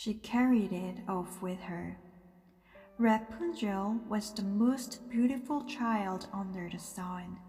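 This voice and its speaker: A woman's somewhat breathy voice with a dark, mellow tone, pitched fairly high and moving with ordinary pitch variation. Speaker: English teacher and interpreter/translator. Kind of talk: sleep story, bedtime story reading.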